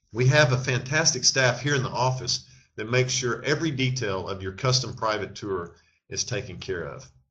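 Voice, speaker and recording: A man with a Texan accent, a bright, sharp tone and medium pitch, at a moderate pace with ordinary pitch variation. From Texas. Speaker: travel agency owner. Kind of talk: sales pitch.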